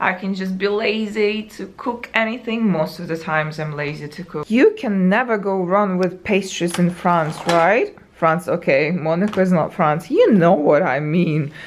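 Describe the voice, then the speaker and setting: With a non-native accent, the speaker goes on with hardly any pauses over noticeable background noise. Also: woman, medium pitch for a woman, ordinary pitch variation, moderate pace. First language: not English. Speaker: travel vlogger. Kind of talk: casual vlog talk to camera. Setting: hotel room. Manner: uneven intonation and pauses.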